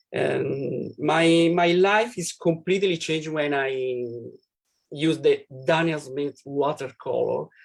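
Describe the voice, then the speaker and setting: In an Italian accent, a man with a fairly high pitch talks very slowly, with ordinary pitch variation. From Italy (Rome). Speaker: painter. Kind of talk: live painting demonstration. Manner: halting.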